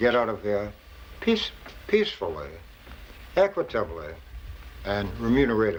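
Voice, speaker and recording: Speaking at a moderate pace with a Charleston accent, the voice has lively intonation. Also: man. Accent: Charleston Southern US. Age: 70s. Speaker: pharmacist and drugstore owner. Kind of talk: casual chat with customers.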